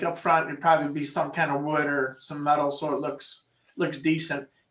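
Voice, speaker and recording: A man is speaking. He talks at a moderate pace. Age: 60s. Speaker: business applicant at a zoning hearing. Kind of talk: public meeting testimony. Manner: halting with many repeated words.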